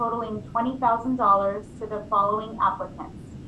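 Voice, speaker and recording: A woman with a bright, sharp tone speaks loudly at a moderate pace and a fairly high pitch, her intonation fairly even, with audible room echo around her. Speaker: city staff analyst presenting to committee. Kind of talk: formal staff report at public meeting. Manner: speaking up loudly.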